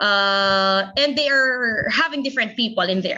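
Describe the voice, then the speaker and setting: A woman talks with a Filipino accent. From Philippines. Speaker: teacher. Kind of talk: lecture.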